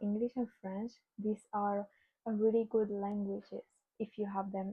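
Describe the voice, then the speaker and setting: A somewhat breathy woman's voice at a medium pitch, moderate pace, and monotone, flat intonation. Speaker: student vlogger. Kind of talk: casual explainer vlog. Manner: halting, with fillers.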